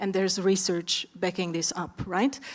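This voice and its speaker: In a very clean recording with a silent background, a woman with an Eastern European accent speaks at a medium pitch. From Romania. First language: Romanian. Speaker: startup founder, panelist. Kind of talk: panel discussion.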